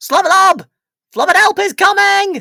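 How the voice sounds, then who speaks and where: Pitched extremely high, a put-on character voice moves at a moderate pace. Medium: read story. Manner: babbling nonsense words.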